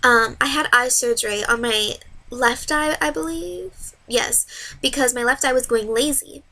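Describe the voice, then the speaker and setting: A woman speaks in a high, bright, sharp voice. Her intonation is lively. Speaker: vlogger with hydrocephalus. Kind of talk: personal vlog. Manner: fast; loud when passionate.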